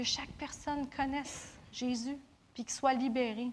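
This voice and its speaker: Her voice sits high in pitch. The woman speaks at a fairly slow pace. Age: 30s. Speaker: preacher. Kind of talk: sermon.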